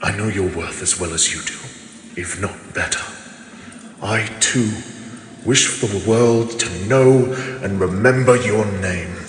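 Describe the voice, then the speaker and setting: A man's put-on character voice, fairly low in pitch, at a fairly slow pace with long, frequent pauses, amid clear background noise and clear echo. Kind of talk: romantic fantasy audio roleplay. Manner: dramatic, pleading.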